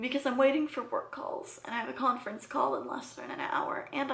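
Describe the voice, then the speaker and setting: Fairly quick speech runs against noticeable background noise. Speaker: vlogger. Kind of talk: personal vlog.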